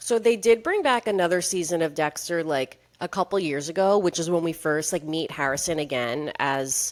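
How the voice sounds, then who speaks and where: Hardly pausing, a woman speaks in a fairly low voice with lively intonation and an animated tone. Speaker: podcast co-host. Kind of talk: casual chat. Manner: fast.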